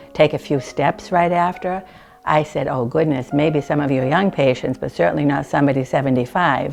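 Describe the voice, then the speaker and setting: Over music in the background, a woman speaks at a moderate pace in a very deep, low voice. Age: 70s. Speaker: hip replacement patient. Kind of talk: testimonial interview.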